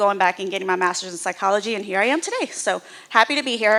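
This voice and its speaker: Talking at a very fast pace over noticeable background noise, a woman with an American accent has a fairly high pitch. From US South, Houston, Texas. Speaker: nonprofit executive. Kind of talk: presentation to church audience. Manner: loud.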